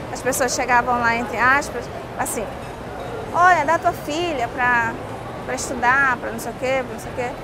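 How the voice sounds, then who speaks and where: A woman's raised, projected voice with high pitch, ordinary pitch variation and a moderate pace, with music in the background. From northern Brazil, Pará (Lower Amazon). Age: 40s. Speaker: cook. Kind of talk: interview testimony.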